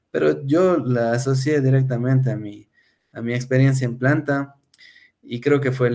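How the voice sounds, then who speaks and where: On a very clean recording with a silent background, a man speaks at a moderate pace with a medium pitch and a dark, mellow tone. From Ecuador, Cuenca. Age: 30s. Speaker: food industry production engineer. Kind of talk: interview.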